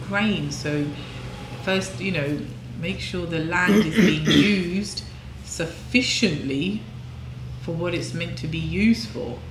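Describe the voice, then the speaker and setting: With noticeable noise in the background, a woman talks at a fairly slow pace. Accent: English. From England. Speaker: devotional scripture reading host; co-host, scripture teacher. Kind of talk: reading aloud of scripture; casual discussion. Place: home room. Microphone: camera far.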